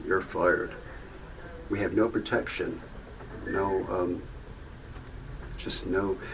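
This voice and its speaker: There is noticeable background noise as a man talks. He speaks at a very slow pace, with long, frequent pauses. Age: 70s. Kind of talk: testimony. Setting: video booth. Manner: halting.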